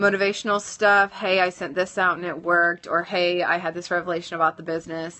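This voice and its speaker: A woman speaks very fast at a fairly low pitch, with hardly any pauses. Her intonation is monotone and flat. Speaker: social media tutorial host, network marketer. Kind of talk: live-stream tutorial. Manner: hesitant, many fillers.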